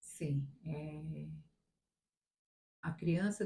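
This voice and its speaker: Somewhat breathy, a woman's voice sits at a fairly low pitch. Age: 60s. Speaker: retired teacher. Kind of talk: interview. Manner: halting.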